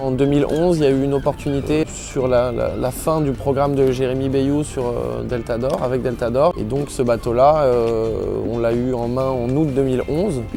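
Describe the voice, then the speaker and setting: A man at medium pitch talks at a moderate pace with fairly even intonation, with audible room echo and noticeable background noise. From Paris region, France. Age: 20s. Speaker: professional sailor. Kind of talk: interview. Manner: hesitant, with frequent fillers.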